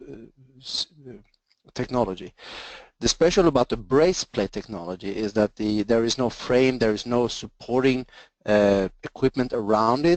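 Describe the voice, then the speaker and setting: A man with a slight Swedish accent, medium pitch, lively intonation and a moderate pace, in a dry, close sound with no echo. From Sweden. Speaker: engineering sales presenter. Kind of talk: webinar presentation. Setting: online webinar.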